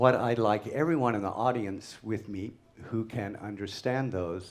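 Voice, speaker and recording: Speaking in an American accent, a man lets his pitch vary in an ordinary way. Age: old. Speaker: theatre director and Shakespearean actor. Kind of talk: public lecture on stage.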